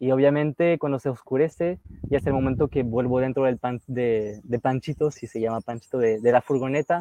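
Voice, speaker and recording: Hardly pausing at all, a man speaks at a fairly quick pace with fairly even intonation. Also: medium pitch for a man, dry, close sound with no echo. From northern France, near Lille. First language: French (speaking Spanish). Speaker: travel youtuber. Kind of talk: casual interview chat.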